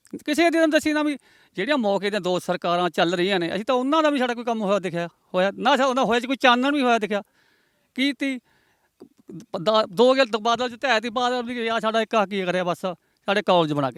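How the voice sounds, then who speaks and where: At a moderate pace, a man talks in a high pitch with lively intonation, recorded dry and close with no echo. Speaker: villager interviewed. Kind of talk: street interview.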